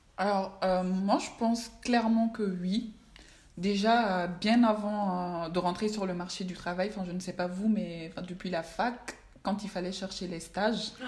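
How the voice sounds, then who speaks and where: In a room with audible echo, a somewhat breathy woman speaks very slowly at a medium pitch with fairly even intonation. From Mali. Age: 20s. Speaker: finance professional. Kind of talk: casual chat.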